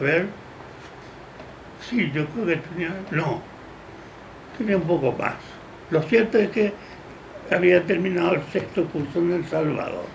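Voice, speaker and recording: With noticeable background noise and audible room echo, a man speaks at a high pitch and a fairly slow pace, showing ordinary pitch variation and long, frequent pauses. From Paraguay. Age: 80s+. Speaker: jurist. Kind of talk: interview.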